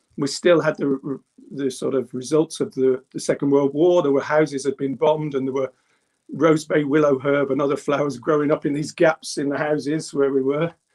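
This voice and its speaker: Dry and close with no echo, a man's fairly high voice in a Birmingham accent moves at a moderate pace with monotone, flat intonation. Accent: English Midlands (Birmingham). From England, Birmingham (Handsworth). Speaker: druid. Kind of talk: interview.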